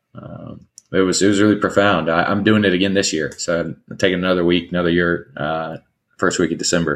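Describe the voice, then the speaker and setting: A man speaks at a fairly quick pace in a very deep, low pitch. His intonation is monotone and flat. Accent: Alabama. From US South, rural Alabama. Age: 30s. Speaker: nonprofit CEO. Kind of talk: interview.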